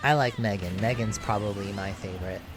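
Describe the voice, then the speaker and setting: A man speaks at a fairly low pitch and a moderate pace, with fairly even intonation. Noticeable background noise and audible room echo are present in the recording. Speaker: game streamer. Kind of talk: live stream commentary. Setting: live stream. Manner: halting with fillers.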